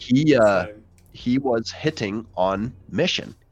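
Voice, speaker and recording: With music in the background, a man speaks at a medium pitch using lively intonation. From South Africa. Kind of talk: casual interview on livestream.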